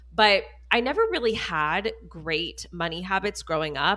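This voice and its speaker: A woman's fairly low voice, bright and sharp in tone, with vocal fry and lively intonation, on a very clean recording with a silent background. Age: 30s. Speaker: spending coach. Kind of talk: casual chat.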